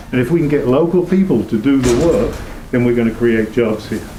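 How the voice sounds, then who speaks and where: Amid audible room echo and noticeable background noise, a man at a medium pitch speaks at a fairly quick pace. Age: old. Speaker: town committee volunteer. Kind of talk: public meeting presentation. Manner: fast.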